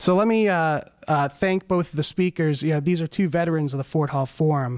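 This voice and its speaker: A man at a fairly quick pace with fairly even intonation, against a quiet background. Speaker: forum moderator. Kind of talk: event introduction. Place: hall.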